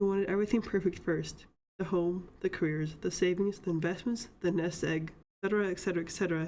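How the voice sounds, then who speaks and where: This woman has a fairly low pitch and a dark, mellow tone. She talks at a fairly quick pace with fairly even intonation. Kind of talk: reading Reddit posts aloud.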